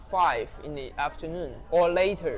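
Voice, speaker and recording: The speech comes with a Chinese accent at a very slow pace. Background noise is noticeable. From Taiwan. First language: Mandarin Chinese. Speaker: interviewee. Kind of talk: interview. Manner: halting.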